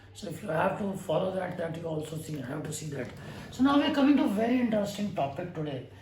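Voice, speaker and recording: A man with a high voice speaks at a very fast pace, with very wide pitch swings and big swings in loudness, amid audible room echo and noticeable background noise. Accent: Indian. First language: Hindi. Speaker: astrologer. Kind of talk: lecture. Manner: halting.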